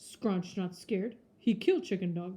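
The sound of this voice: A growling, put-on character voice at a fairly slow pace, with fairly even intonation. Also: woman.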